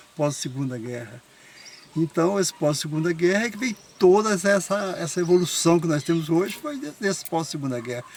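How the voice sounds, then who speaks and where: Over noticeable background noise, a man with a high pitch speaks at a moderate pace with lively intonation. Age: 70s. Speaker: interviewee, elderly local resident. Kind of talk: casual interview chat.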